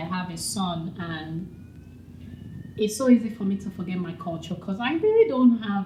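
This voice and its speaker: Noticeable background noise sits under a woman's voice, which is medium in pitch, moderate in pace, and ordinary in pitch variation. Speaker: vlogger. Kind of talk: casual vlog talk.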